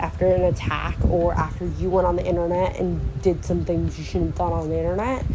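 Noticeable background noise and audible room echo around a woman talking at a moderate pace. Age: 19. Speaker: solo podcaster. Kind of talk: casual monologue.

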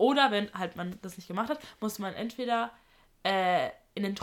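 Using an unremarkable speaking voice, a woman talks at a moderate pace with medium pitch, ordinary pitch variation and big swings in loudness, in a very clean recording with a silent background. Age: 20s. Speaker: university student. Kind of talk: casual chat.

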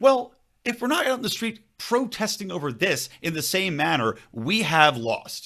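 Raised and projected, a man's voice carries an American accent and a bright, sharp tone. His pitch is high and swings very widely. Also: moderate pace. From Philadelphia area, Pennsylvania. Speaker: libertarian podcaster. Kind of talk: casual political chat.

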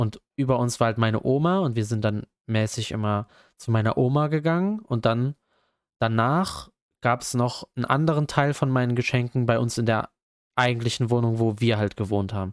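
A plain, everyday voice moves at a moderate pace with ordinary pitch variation. The recording is very clean and dry, close-miked with no echo and a silent background. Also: man, medium pitch for a man. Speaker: student podcast host. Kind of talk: casual chat.

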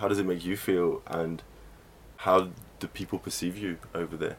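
A man with an English accent speaks at a moderate pace in a very deep, low pitch. His intonation is flat and monotone. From England. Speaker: radio presenter and club DJ. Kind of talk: documentary narration and interviews. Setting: in a car.

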